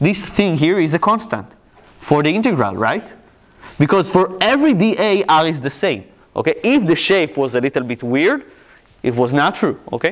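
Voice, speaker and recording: A man with an Israeli accent, at a moderate pace, with very wide pitch swings. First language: Hebrew. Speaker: physics lecturer. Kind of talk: lecture.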